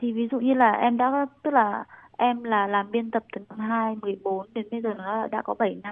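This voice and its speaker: The speaker moves at a fairly slow pace. The intonation stays monotone and flat. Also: woman, fairly high pitch for a woman. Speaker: master's student in Taiwan. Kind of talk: interview.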